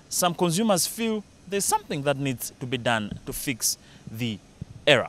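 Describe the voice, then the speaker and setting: Very wide pitch swings from a man, dry with no echo, against light background noise. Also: fairly high pitch for a man, moderate pace. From Malawi. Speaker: TV business news presenter; TV news presenter. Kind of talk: news presenting. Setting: studio. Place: street. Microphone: handheld.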